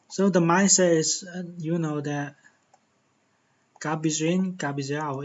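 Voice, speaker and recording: In a Chinese accent, a man talks at a fairly high pitch with monotone, flat intonation. His pace is very slow. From China. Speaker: tech tutorial YouTuber. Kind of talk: tutorial. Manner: halting, many fillers and repetitions.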